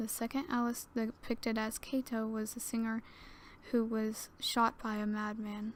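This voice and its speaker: Soft-spoken and fairly high in pitch, a woman talks at a moderate pace. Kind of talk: creepypasta story reading. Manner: soft ASMR reading.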